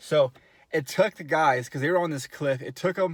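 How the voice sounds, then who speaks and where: A man with a plain, everyday voice talks at a moderate pace, fairly high in pitch with ordinary pitch variation. The recording is very clean, with a silent background. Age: 40s. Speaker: amateur stand-up comedian. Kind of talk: casual comedic storytelling to camera.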